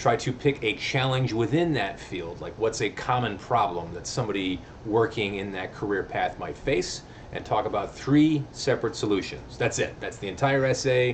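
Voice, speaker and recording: A medium-pitched male voice with ordinary pitch variation, audible room echo and noticeable background noise. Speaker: college English teacher. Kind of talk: video lecture. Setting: recorded video lesson. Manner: fast; casual.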